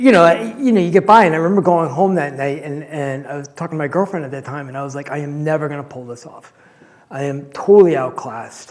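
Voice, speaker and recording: A man with a Rhode Island accent at a very fast pace, fairly high in pitch, with ordinary pitch variation and big swings in loudness. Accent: Rhode Island accent, somewhat cleaned up. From Rhode Island (Cranston). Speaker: scientist giving a public talk. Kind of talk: public talk.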